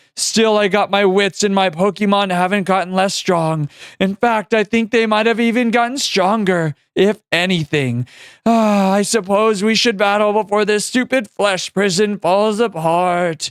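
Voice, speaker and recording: Putting on a character voice, a man speaks at a moderate pace and a high pitch on a very clean recording with a silent background. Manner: raspy, undead.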